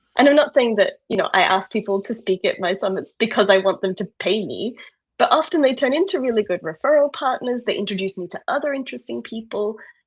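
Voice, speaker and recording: Speaking very fast against a quiet background, a woman with an Australian accent uses lively intonation at a fairly high pitch. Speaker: online events organizer. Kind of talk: casual interview chat.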